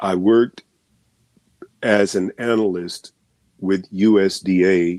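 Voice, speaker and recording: A man talks in a very deep, low pitch with a dark, mellow tone and monotone, flat intonation. The sound is dry and close, with no echo. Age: 60s. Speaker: agriculture expert. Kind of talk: live stream Q&A answer.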